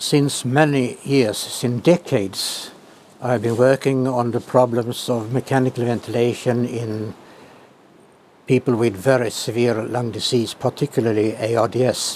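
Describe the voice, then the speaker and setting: Noticeable background noise accompanies a man whose voice sits at a medium pitch. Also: fairly even intonation, fairly slow pace. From Sweden. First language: Swedish. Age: 80s+. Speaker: professor emeritus of clinical physiology. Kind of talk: interview answer.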